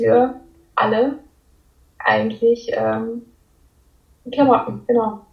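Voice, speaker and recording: A woman is speaking. Her pace is very slow. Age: 20s. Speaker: law student and part-time clothing designer. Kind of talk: casual interview.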